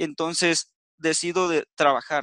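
A man speaks in a bright, sharp tone. The sound is dry with no echo, over a quiet background. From Mexico, Veracruz. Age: 20s. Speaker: business presenter; presenter. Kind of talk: sales pitch. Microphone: video call.

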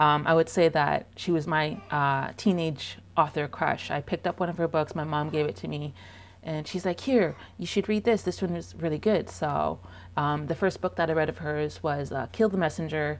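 A woman speaks at a moderate pace with vocal fry and a very deep, low pitch. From Canada. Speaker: book vlogger. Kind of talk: casual vlog monologue. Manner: hesitant, many fillers. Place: home room. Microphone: lapel.

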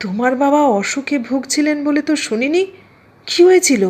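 A shaky, put-on character voice with lively intonation at a moderate pace. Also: woman, high pitch for a woman. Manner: very soft, trembling.

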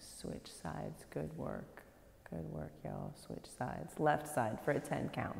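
A fairly slow pace in audible room echo. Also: woman. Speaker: yoga instructor. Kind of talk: class instruction cues. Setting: yoga studio, live class. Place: gym.

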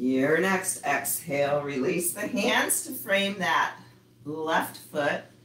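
A woman with a very deep, low pitch speaks very slowly in a calm tone. Noticeable background noise runs underneath. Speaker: yoga instructor. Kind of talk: live online yoga class, guiding poses. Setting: video call. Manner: calm, instructive, slow and steady cues; warm, friendly, chatty with students.

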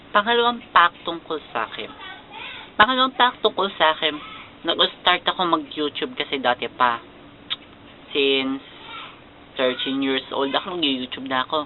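Speaking at a moderate pace with long, frequent pauses, a man uses a fairly high pitch and very wide pitch swings against noticeable background noise. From Philippines. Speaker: YouTuber. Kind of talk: casual vlog.

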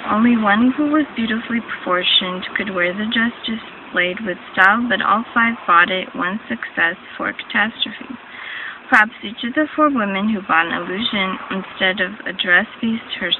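Ordinary pitch variation marks this woman's speech. Noticeable background noise is heard in a dry sound with no echo. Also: moderate pace. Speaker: reader. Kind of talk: reading a text aloud. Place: home room. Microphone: phone near.

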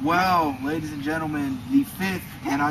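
Amid noticeable background noise, a man speaks at a moderate pace. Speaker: backyard wrestling announcer character. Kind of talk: wrestling promo. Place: garden. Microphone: camera far.

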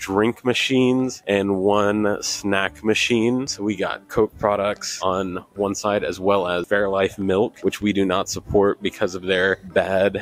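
Fairly low in pitch, a man speaks at a very slow pace with fairly even intonation in a dry sound with no echo. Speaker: vlogger. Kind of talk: casual vlog chat. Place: station. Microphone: handheld.

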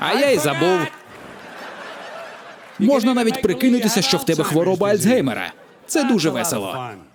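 Noticeable background noise surrounds a man who speaks at a moderate pace with very wide pitch swings. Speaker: voice-over artist. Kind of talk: stand-up comedy dub. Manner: comedic, crude. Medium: dub.

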